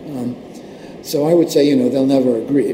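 A man talks over noticeable background noise. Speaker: computer networking engineer. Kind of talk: interview.

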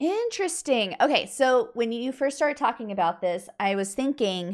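Very wide pitch swings mark this moderately paced voice with an American accent, captured on a very clean recording with a silent background. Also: woman.

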